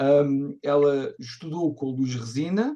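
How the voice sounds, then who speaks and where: A man with a European Portuguese accent speaks in a dark, mellow tone at a fairly high pitch. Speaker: community co-host. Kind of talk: event introduction. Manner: fast.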